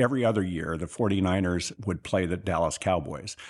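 Speaking at a moderate pace against a quiet background, a man with an American accent has a fairly low pitch. His is an unremarkable speaking voice with ordinary pitch variation. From Northern California, rural Sutter County. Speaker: businessman. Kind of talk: interview.

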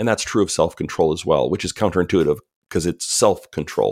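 A man with an American accent, in a very clean recording with a silent background. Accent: Canadian with some US Southern drift. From Canada. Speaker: author. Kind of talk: interview.

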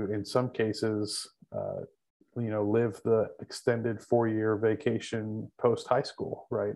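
A man with an American accent at medium pitch, very slow pace and monotone, flat intonation. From Texas Panhandle. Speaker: campus pastor. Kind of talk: interview conversation.

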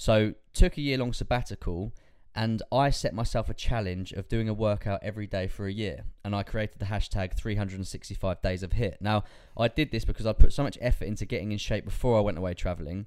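Here is a man with an unremarkable speaking voice and fairly low pitch. He moves at a fairly quick pace with ordinary pitch variation. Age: 20s. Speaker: fitness coach and podcast host. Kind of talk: casual chat.

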